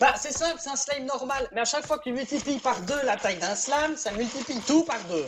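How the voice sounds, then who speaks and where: A woman's high-pitched voice with lively intonation, at a fairly quick pace with hardly any pauses, over noticeable background noise. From Switzerland. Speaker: game server event organizer. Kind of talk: casual chat while gaming.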